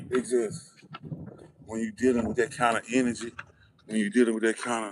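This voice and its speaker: At a fairly quick pace, a man talks with flat, monotone intonation. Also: medium pitch for a man. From US South. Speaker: livestreamer / commentator. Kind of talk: casual livestream monologue. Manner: casual, repetitive with false starts.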